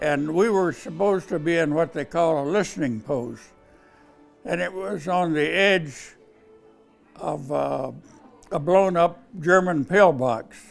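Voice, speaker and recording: Over music in the background, a man with an American accent talks at a fairly slow pace with long, frequent pauses, his fairly high pitch showing ordinary variation. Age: 80s+. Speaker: war veteran. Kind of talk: interview answer.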